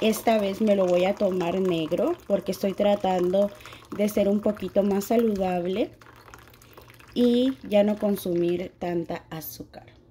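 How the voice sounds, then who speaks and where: A woman at a fairly slow pace with ordinary pitch variation, amid noticeable background noise. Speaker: home decor YouTuber. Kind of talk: tutorial. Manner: warm and affectionate.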